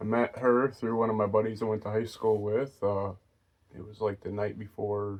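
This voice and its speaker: A soft-spoken man at a moderate pace, fairly low in pitch. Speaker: partner of host. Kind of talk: casual chat.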